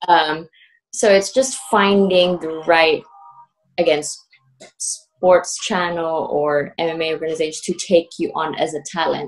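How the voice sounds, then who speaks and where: A woman with a Filipino accent speaks fairly slowly, her pitch fairly low, with ordinary pitch variation. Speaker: aspiring MMA presenter. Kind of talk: casual chat.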